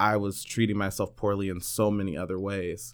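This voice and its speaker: In an American accent, a plain, everyday voice speaks at a moderate pace over a very clean recording with a silent background. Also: man. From Northern California. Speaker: podcast guest. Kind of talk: casual interview chat.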